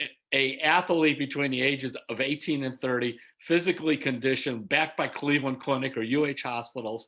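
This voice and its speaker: Fairly quick and fairly even in intonation, a man speaks in a plain, everyday voice pitched fairly high. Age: 60s. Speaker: sports writer. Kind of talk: interview. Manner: casual, conversational.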